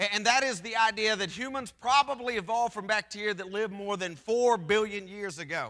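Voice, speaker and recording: In an American accent, a man speaks at a high pitch in a raised, projected voice, his tone bright and sharp, at a fairly quick pace with ordinary pitch variation. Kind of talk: church presentation. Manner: loud.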